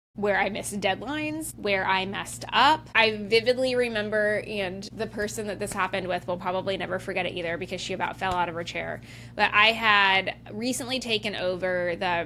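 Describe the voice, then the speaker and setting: A woman talks loudly at a moderate pace, her medium pitch showing ordinary variation and her tone bright and sharp. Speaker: podcast host. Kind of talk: solo podcast monologue. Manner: casual, filler-heavy.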